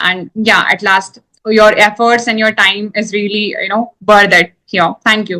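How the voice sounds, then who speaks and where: A woman's bright, sharp tone in an Indian accent, with monotone, flat intonation and a dry, close sound with no echo. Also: medium pitch for a woman, fairly slow pace. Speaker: English teacher. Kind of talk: casual chat.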